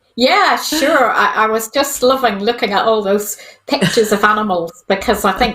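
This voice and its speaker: A woman with a Northern Irish accent, fairly high-pitched, with ordinary pitch variation and very even loudness. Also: moderate pace. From Northern Ireland, County Antrim. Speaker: vet. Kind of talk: casual interview.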